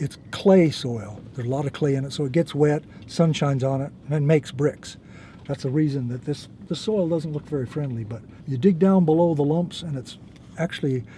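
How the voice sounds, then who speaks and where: Fairly quick and somewhat breathy, a man speaks with an American accent and a dark, mellow tone. His pitch is fairly high, with ordinary pitch variation. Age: 70s. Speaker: farmer. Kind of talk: casual explanation on farm tour.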